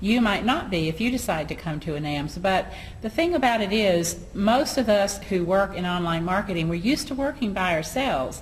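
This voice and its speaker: Amid audible room echo, a woman with a Southern US accent talks at a moderate pace and medium pitch, her intonation lively. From US South. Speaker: online marketing business owner. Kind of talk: casual chat. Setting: at a conference in Atlanta.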